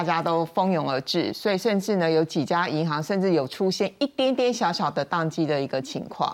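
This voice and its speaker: Over a quiet background, a woman with an unremarkable speaking voice and fairly low pitch talks at a moderate pace with lively intonation. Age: 50s. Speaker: veteran journalist. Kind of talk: panel discussion.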